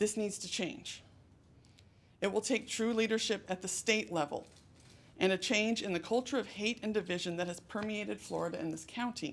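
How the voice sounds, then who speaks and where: At a moderate pace, a woman talks in a medium-pitched voice with vocal fry and ordinary pitch variation. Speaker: high school English teacher. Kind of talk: public comment at board meeting. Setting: school board meeting. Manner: loud; projecting teacher voice.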